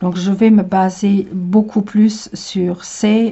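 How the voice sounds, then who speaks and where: A woman's somewhat breathy, medium-pitched voice with fairly even intonation at a very slow pace. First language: Luxembourgish (speaking French). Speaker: tarot reader. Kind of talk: tutorial. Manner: halting, many hesitations.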